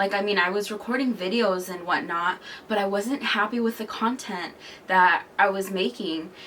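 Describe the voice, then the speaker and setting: Noticeable background noise runs under this recording. A woman talks at a moderate pace and medium pitch, with ordinary pitch variation. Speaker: lifestyle vlogger. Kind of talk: casual vlog monologue. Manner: hesitant, halting.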